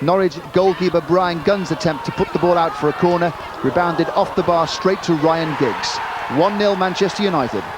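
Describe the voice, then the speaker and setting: There is noticeable background noise as a man talks at a high pitch and moderate pace. His intonation is fairly even and his loudness very even. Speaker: football commentator. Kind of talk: TV football highlights commentary.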